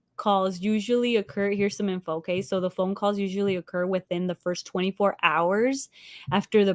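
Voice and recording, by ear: Intonation stays fairly even. It is reading aloud in a natural voice.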